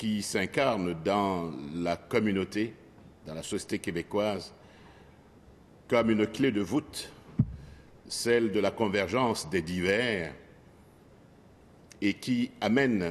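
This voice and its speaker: Very slow speech from a man with a fairly low pitch, ordinary pitch variation, and long, frequent pauses. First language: not French (French is his fourth language) (speaking French). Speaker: politician. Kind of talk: parliamentary speech. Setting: legislative assembly chamber. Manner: formal.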